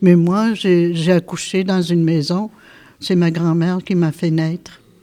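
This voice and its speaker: In a dark, mellow tone, a woman with a fairly low pitch speaks in a flat monotone. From Quebec North Shore, Innu community. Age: 70s. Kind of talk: interview testimony. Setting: classroom with students listening. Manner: hesitant, many fillers.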